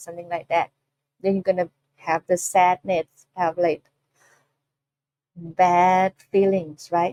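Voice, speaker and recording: With a Thai accent, a woman speaks at a medium pitch in a dark, mellow tone, leaving long, frequent pauses, and the sound is dry and close with no echo. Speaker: Buddhist nun teacher. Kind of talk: dharma talk. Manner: halting.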